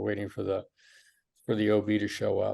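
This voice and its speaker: With a General American accent, a man talks at a fairly quick pace. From Michigan. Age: 60s. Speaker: physician. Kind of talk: interview, life story. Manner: hesitant with fillers.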